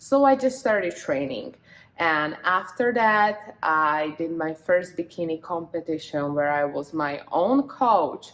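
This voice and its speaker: This woman has a Slovak accent and a fairly low pitch. She talks at a very slow pace with very wide pitch swings. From Slovakia. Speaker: bikini fitness competitor and vlogger. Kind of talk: casual vlog.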